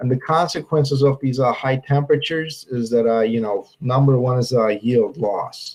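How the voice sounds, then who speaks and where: This man speaks at a medium pitch and sounds somewhat breathy. His intonation stays fairly even. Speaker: university viticulture researcher. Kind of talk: webinar presentation. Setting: online webinar. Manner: halting, many filler sounds.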